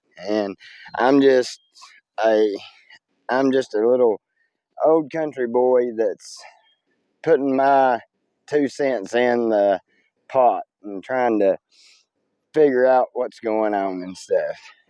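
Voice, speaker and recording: A man with a Tennessee accent speaks in a dark, mellow tone at a very slow pace, with long, frequent pauses and a dry, close sound with no echo. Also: medium pitch for a man, ordinary pitch variation. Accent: Southern US (Tennessee). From US South. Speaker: vlogger. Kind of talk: casual rant to camera. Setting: outdoors.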